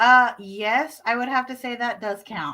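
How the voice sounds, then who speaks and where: A woman's bright, sharp voice at a fairly slow pace, on a very clean recording with a silent background. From Arkansas. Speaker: homesteading channel co-host. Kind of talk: casual live-stream chat.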